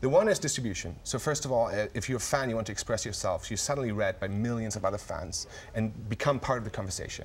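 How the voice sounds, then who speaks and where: In a German accent, a man talks at a very fast pace with hardly any pauses. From Germany. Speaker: tech company CEO. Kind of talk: TV interview. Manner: halting, many fillers and repetitions.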